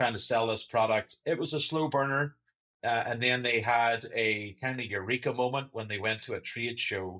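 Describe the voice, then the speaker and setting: Against a quiet background, a man with a Northern Irish accent talks at a moderate pace with fairly even intonation and a bright, sharp tone. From Northern Ireland. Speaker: sales and marketing director. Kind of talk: interview.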